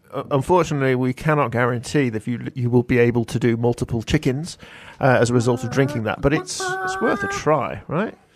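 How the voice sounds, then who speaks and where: A man of medium pitch at a fairly quick pace, with music in the background. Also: ordinary pitch variation. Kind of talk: live radio presenter patter, bantering. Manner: bright, quick, jokey, chatty, with stumbles and overlapping interjections.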